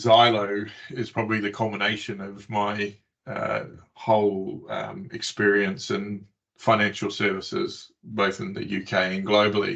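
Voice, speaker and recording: Fairly slow, fairly even intonation from a man with a New Zealand accent, with big swings in loudness. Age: 50s. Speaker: tech company CEO. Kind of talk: interview. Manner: hesitant, many fillers.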